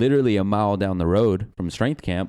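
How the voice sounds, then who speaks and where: Recorded very cleanly against a silent background, a man with an Arkansas accent speaks at a fairly low pitch in a dark, mellow tone with ordinary pitch variation. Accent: Southern US (Arkansas). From Arkansas, US South. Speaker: personal trainer. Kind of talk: casual chat.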